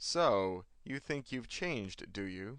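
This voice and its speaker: Putting on a character voice, a man talks at a fairly slow pace and a medium pitch. His pitch swings very widely. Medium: read story. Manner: curt, terse.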